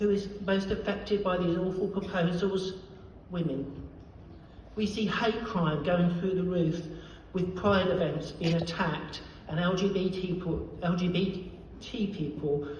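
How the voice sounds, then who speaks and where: Amid audible room echo, a woman at medium pitch speaks fairly slowly, with very even loudness and fairly even intonation. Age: 70s. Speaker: activist. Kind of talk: acceptance speech. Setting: award ceremony with audience.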